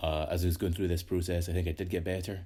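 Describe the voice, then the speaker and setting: Somewhat breathy and dark, mellow in tone, a man's very deep, low voice holds a monotone, flat intonation. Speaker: artist. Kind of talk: casual talk to camera.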